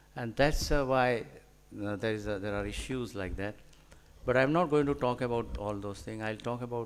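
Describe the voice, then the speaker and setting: This man has a Gujarati accent and a medium pitch. He talks at a moderate pace. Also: ordinary pitch variation. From India, Gujarat. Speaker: scientist and author. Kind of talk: lecture. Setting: hall with audience. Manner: halting, many fillers.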